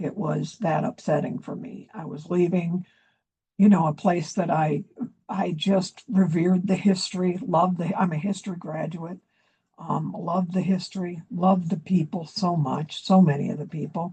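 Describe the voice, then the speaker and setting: A woman's fairly low-pitched, dark, mellow, somewhat breathy voice at a moderate pace, with fairly even intonation and big swings in loudness. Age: 70s. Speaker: activist speaker, former newspaper editor. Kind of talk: public address. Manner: hesitant, many fillers.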